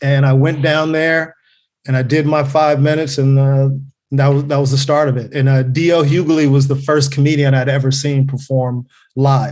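Somewhat breathy, a man with an American accent speaks at a moderate pace and a fairly high pitch. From Los Angeles, California (Carson). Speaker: comedian. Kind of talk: casual chat.

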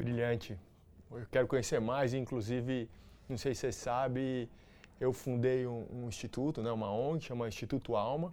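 At medium pitch and with fairly even intonation, a man talks in an unremarkable speaking voice. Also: moderate pace. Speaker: interview podcast host. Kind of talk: interview.

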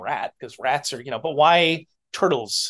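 Against a quiet background, a man with an American accent speaks at a moderate pace in a fairly high pitch, with vocal fry and lively intonation. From New Hampshire, US. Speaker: illustrator and clothing designer. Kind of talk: casual chat.

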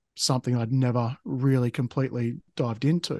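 A man with an Australian accent is recorded with a dry, close sound with no echo over a quiet background. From Tasmania, Australia. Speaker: podcast host, spiritual guest. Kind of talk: interview, personal story. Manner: halting, many fillers.

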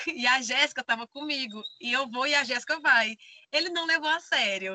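A woman with a high pitch and a bright, sharp tone uses a raised, projected voice at a moderate pace. Her pitch variation is ordinary, and the sound is dry and close with no echo. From Brazil, Maranhão (Bacabal). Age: 30s. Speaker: van-life traveler and theater artist. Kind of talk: casual interview chat.

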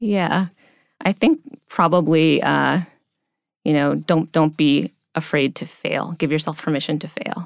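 On a very clean recording with a silent background and a dry, close sound with no echo, a woman with an American accent speaks very deep and low, at a fairly slow pace with long, frequent pauses, vocal fry and ordinary pitch variation. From US Midwest, near Cleveland, Ohio. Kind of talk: interview. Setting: studio.

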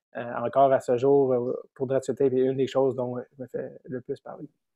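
The speaker talks at a moderate pace with a Quebec accent. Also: man. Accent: Québécois French. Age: 30s. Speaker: comedian and podcaster. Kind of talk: casual chat.

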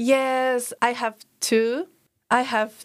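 Speaking with a Japanese accent, a woman uses a high pitch. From Japan, Tokyo. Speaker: exchange student. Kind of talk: casual interview.

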